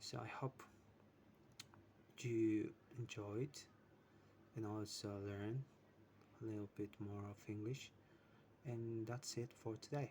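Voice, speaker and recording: A man's somewhat breathy, medium-pitched voice with a non-native accent, at a very slow pace with fairly even intonation and long, frequent pauses. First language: not English. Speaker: English learner vlogger. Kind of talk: casual self-practice monologue. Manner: halting. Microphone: poor sound quality.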